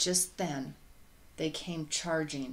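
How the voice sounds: Room echo is audible as a woman talks slowly at a low pitch, with ordinary pitch variation.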